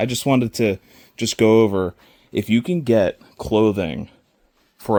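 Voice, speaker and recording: A man's fairly low-pitched voice with ordinary pitch variation at a moderate pace, in a very clean recording with a silent background and a dry, close sound with no echo. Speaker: reseller vlogger. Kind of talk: casual vlog talk. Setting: indoor yard sale at a school. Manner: loud.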